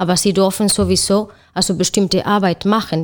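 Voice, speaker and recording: With a Spanish accent, a woman at a medium pitch talks at a fairly slow pace with fairly even intonation on a very clean recording with a silent background. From Spain. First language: Spanish (speaking German). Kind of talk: panel discussion.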